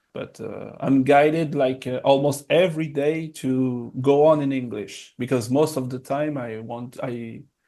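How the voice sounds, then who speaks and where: In a French accent, a man speaks at a fairly slow pace with a dark, mellow tone, medium pitch, and fairly even intonation against a quiet background. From France. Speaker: documentary filmmaker. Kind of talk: interview. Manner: hesitant, many filler sounds.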